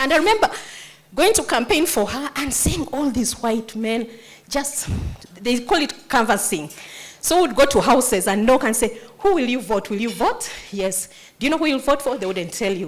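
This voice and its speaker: This woman talks in a Ugandan accent with an animated tone and very wide pitch swings. Her voice is high, and her pace is moderate. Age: 50s. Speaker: nonprofit founder. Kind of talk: motivational speech.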